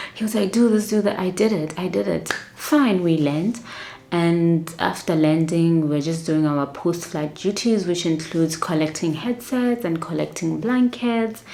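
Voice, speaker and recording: A soft-spoken voice with lively intonation, at a fairly slow pace. Background noise is noticeable. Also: woman, fairly low pitch for a woman. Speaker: flight attendant vlogger. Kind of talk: casual storytelling vlog.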